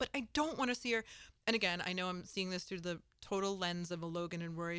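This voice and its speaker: This woman has an ordinary speaking voice with an American accent and a fairly quick pace. The recording is very clean, with a silent background. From Connecticut, US. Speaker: entertainment magazine editor, podcast host. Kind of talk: casual chat.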